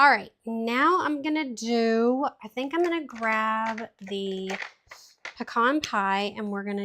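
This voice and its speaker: A woman speaks at a fairly slow pace. Her fairly high pitch shows ordinary variation. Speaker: card-making demonstrator. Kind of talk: live craft tutorial. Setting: livestream.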